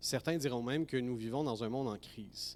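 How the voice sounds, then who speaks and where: This man has an ordinary speaking voice, a medium pitch, ordinary pitch variation and a moderate pace. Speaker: professor. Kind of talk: ceremonial speech. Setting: graduation ceremony hall.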